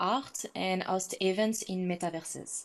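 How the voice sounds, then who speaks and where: A woman at medium pitch with fairly even intonation, over a quiet background. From France. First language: French. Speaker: founder of a creative studio. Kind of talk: panel discussion.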